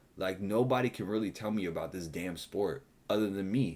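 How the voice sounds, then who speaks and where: At a fairly quick pace, a man with a fairly low pitch talks in an animated tone with ordinary pitch variation. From Puerto Rican heritage, US. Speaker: sports betting YouTuber. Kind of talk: casual rant to camera.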